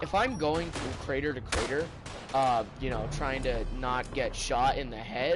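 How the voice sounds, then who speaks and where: Amid noticeable background noise, a man speaks at a fairly slow pace with ordinary pitch variation. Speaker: gaming streamer. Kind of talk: live gameplay commentary. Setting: home, playing on TV console. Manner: loud, yelling; casual, filler-heavy.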